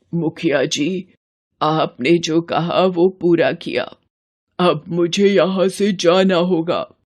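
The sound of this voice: A cartoonish character voice at a middle pitch drawls along at a very slow pace.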